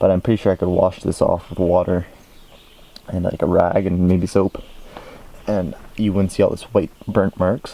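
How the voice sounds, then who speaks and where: A man's very deep, low voice with a dark, mellow tone, monotone and flat, at a moderate pace broken by long, frequent pauses. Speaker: hobbyist video maker. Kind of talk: tutorial-style demonstration. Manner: soft-spoken; halting.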